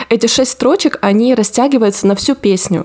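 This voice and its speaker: The speech moves at a very fast pace with ordinary pitch variation. Noticeable background noise is audible. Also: woman. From Rostov region, southern Russia. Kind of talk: casual chat.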